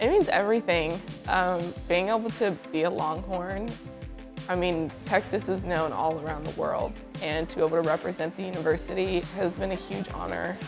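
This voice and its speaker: A woman talks at a moderate pace in a fairly low voice with ordinary pitch variation. Clear music plays in the background. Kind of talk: interview answer. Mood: warm, reflective, emotional. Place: home room. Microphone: lapel.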